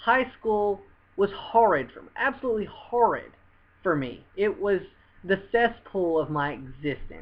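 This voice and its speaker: In a Southern US accent, the speech unfolds fairly slowly. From US South. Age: 20s. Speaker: vlogger. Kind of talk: personal testimony to camera. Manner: earnest, repetitive with hesitations.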